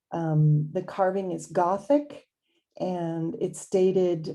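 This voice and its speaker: A woman with a Californian accent speaks at a fairly low pitch with ordinary pitch variation. Her tone is dark and mellow. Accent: California. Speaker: YouTube host presenting religious history. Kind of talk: narrated presentation. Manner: halting, with fillers.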